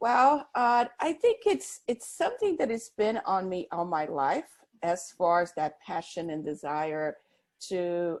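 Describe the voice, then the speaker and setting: A woman speaks at a fairly slow pace with a Portuguese accent. Her fairly low voice carries lively intonation. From Brazil. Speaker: business consultant. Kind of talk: interview.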